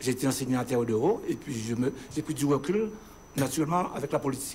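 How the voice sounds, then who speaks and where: This man speaks very fast in a fairly high pitch, his pitch varying in an ordinary way. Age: 60s. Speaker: local election candidate, retired school headteacher. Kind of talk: televised political interview.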